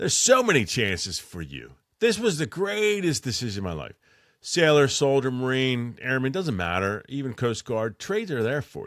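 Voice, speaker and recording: In a Philadelphia accent, a man at a medium pitch talks at a moderate pace in an animated tone, with very wide pitch swings and big swings in loudness, on a very clean recording with a silent background. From Philadelphia, US. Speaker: military veteran and electrician. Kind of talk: casual podcast monologue.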